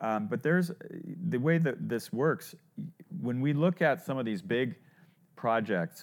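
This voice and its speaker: A male speaker is heard. His pitch rises and falls across a very wide range. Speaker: podcast host, startup advisor. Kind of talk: interview.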